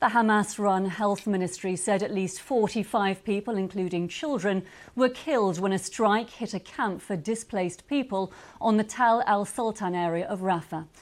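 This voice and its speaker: Here is a woman with an unremarkable speaking voice at medium pitch. Her pace is moderate and her pitch varies in an ordinary way. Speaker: news presenter. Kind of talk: TV news studio presenting. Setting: studio.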